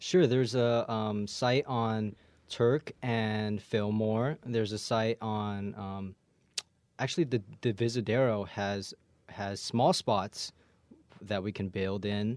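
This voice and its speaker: A man speaks at a very slow pace. His voice is fairly low, with ordinary pitch variation. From San Francisco Bay Area, born in Hong Kong. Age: young. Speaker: political candidate. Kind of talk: interview. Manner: halting.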